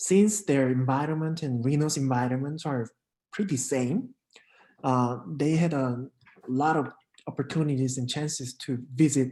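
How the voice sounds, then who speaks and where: A man's medium-pitched voice in a dark, mellow tone, with a Korean accent, ordinary pitch variation and a moderate pace. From South Korea. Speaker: international exchange program coordinator. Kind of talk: casual interview. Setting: live stream.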